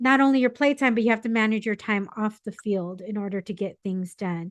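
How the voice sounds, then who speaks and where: An ordinary speaking voice moves at a fairly quick pace with ordinary pitch variation over a quiet background. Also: woman, fairly high pitch for a woman. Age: 40s. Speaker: podcast host. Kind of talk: casual chat.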